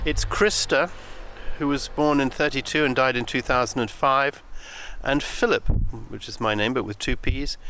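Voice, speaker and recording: A man talks at a moderate speed in an English accent. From England. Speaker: podcast host, medium. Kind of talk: walking monologue. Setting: outdoors in a graveyard. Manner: halting, many fillers.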